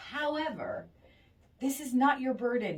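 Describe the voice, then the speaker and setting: Over noticeable background noise, a woman speaks in a warm tone. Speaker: radio show host giving advice. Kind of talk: radio advice segment. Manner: warm, empathetic.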